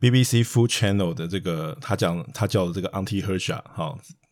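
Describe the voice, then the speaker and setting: A man at a moderate pace, fairly low in pitch with ordinary pitch variation, on a very clean recording with a silent background. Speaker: investment podcast host. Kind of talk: casual chat.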